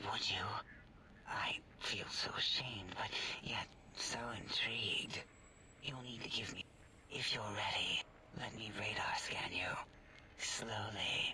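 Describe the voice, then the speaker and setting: Whispering at a fairly slow pace, a man uses a put-on character voice. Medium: machinima. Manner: hesitant, fussy.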